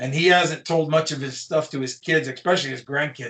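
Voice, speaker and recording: A man with an American accent speaks in a normal speaking voice, fairly high in pitch, with fairly even intonation. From eastern Colorado, US. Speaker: podcast host, author. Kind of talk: casual chat.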